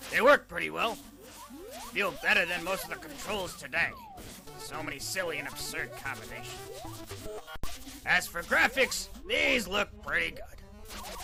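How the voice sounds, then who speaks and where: A man's cartoonish character voice at a moderate pace, with clear music in the background. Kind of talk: video game review. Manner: grumpy, cantankerous.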